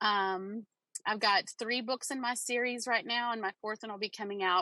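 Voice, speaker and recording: Bright and sharp in tone, this voice speaks at a fairly slow pace with a slight Southern US accent, recorded dry and close with no echo against a quiet background. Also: woman. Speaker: romance author. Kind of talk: panel discussion.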